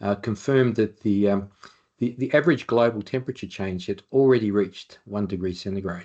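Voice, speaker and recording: An Australian accent at a fairly quick pace, over a quiet background. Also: man. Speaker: occupational hygienist. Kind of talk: webinar presentation. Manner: fast when excited.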